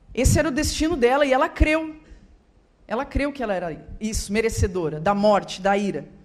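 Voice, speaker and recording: A woman talks at a fairly quick pace in a fairly high voice. Her pitch swings very widely, and the room echo is audible. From Rio Grande do Sul, southern Brazil. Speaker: guest speaker and author. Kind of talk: testimony. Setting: church.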